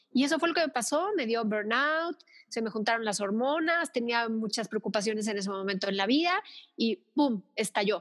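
A woman's ordinary speaking voice, fairly high in pitch, with lively intonation, a moderate pace and a dry, close sound with no echo. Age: 50s. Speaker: thanatologist and Reiki therapist. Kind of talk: interview conversation.

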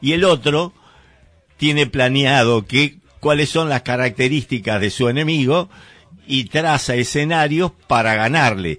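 This man talks at a fairly slow pace with very even loudness. His pitch shows ordinary variation. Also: fairly high pitch for a man. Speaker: community radio host. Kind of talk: casual chat. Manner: halting, many fillers and repetitions.

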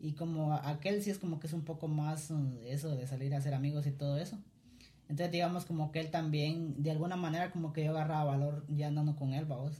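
Very fast and somewhat breathy, a man talks in a fairly high pitch with a dark, mellow tone, monotone flat intonation and very even loudness. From Guatemala (Cuilapa, Santa Rosa). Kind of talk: casual chat.

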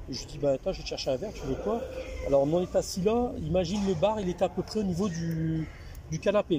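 A man's high voice with lively intonation at a fairly quick pace, amid noticeable background noise. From northern France, Lille. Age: 40s. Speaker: office worker sharing libertine lifestyle experiences. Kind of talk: casual chat over wine, storytelling. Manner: halting, repetitive.

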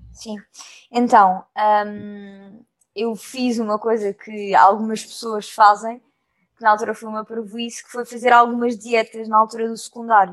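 A woman with a European Portuguese accent and a fairly high-pitched voice. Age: 20s. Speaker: actress. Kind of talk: casual chat.

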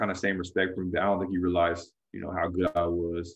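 A man's very deep, low voice with an American accent, at a fairly quick pace. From California. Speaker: former pro basketball player and coach. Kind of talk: casual interview.

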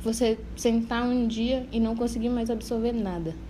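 A woman's fairly high-pitched voice. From Parintins, Amazonas, Brazil. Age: 20s. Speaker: podcast co-host, medical school applicant. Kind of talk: casual chat.

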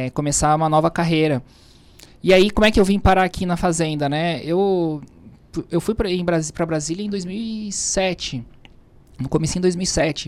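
A man with a high pitch talks at a moderate pace, using ordinary pitch variation and long, frequent pauses. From southern Brazil, Florianópolis. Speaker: tax official. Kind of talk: interview. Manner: halting.

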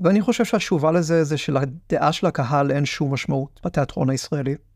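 A man with a normal speaking voice, fairly high pitch, ordinary pitch variation and a fairly quick pace. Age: 20s. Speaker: podcast host and theatre producer. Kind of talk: personal monologue podcast. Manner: wry, reflective.

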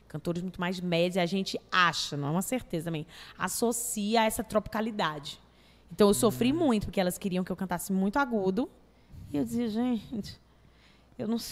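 In a very clean recording with a silent background, a woman with a medium pitch talks at a fairly quick pace with lively intonation and long, frequent pauses. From Brazil, Fortaleza (Ceará). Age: 30s. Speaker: actress and comedian. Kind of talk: casual chat. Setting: studio.

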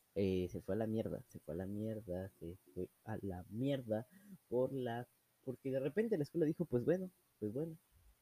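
A man with a Mexican accent speaks in a dark, mellow tone at a moderate pace. His intonation is lively, and the sound is dry and close with no echo. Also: medium pitch for a man. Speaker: amateur podcaster. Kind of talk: casual monologue. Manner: animated; halting.

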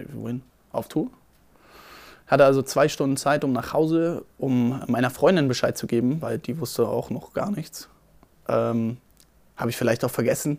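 A man speaks at a moderate pace and a medium pitch, with ordinary pitch variation and long, frequent pauses. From Berlin. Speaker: photographer and videographer. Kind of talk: casual storytelling.

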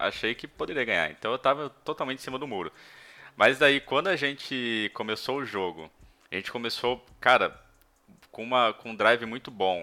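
On a very clean recording with a silent background, a man with a bright, sharp tone speaks at a moderate pace with ordinary pitch variation. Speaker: sports podcast host. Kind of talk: casual sports talk livestream. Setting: live stream on camera.

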